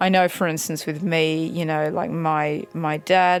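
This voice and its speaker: Fairly slow speech in an Australian accent with music in the background. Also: woman. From Australia, Canberra. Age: 30s. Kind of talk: personal testimony. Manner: hesitant, many fillers.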